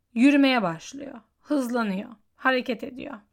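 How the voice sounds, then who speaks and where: A woman's high voice at a fairly slow pace with ordinary pitch variation, in a very clean recording with a silent background. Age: 20s. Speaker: solo podcaster. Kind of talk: personal monologue.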